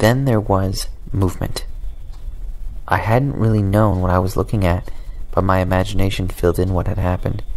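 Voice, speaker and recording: Over noticeable background noise, a man with a very deep, low pitch speaks at a fairly quick pace with fairly even intonation, very even loudness and long, frequent pauses. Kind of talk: horror story reading. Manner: calm, inviting.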